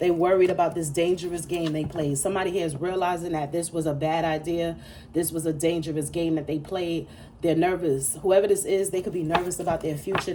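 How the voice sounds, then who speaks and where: Audible room echo surrounds a woman with a fairly low pitch who speaks at a fairly quick pace in an animated tone. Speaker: tarot reader. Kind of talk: tarot reading monologue. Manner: fast.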